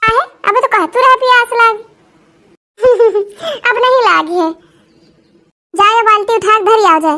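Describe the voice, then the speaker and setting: A cartoonish character voice, female-sounding and extremely high, moves at a moderate pace. Long pauses come often. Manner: scolding, grumbling.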